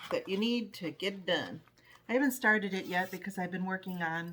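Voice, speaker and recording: Here is a woman with an unremarkable speaking voice at a medium pitch. Her pace is fairly quick. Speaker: flosstube cross-stitch vlogger. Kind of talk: casual chat.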